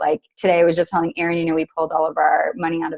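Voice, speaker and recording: A woman with an American accent talks at a very fast pace. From United States. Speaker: entrepreneur and sustainability advocate. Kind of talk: casual interview. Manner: animated.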